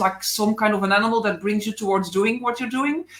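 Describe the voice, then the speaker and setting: A woman talks with a fairly high pitch in a Belgian accent. Background noise is noticeable. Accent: Belgian accent, non-native English. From Belgium. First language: not English (Belgian). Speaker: animal physiotherapist. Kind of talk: interview on a live stream. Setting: Facebook Live video call. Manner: hesitant, many fillers.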